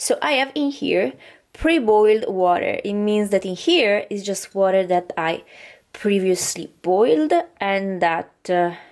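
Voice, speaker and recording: A woman talks at a fairly slow pace. She speaks with a non-native accent. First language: not English. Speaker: vlogger. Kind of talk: casual tutorial vlog. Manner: halting, many fillers.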